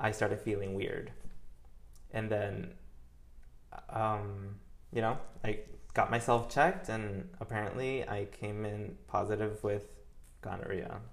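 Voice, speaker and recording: A man with an American accent at a fairly low pitch, somewhat breathy, fairly slow and fairly even in intonation, with long, frequent pauses and audible room echo. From New York. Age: 20s. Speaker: interior designer. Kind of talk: casual chat.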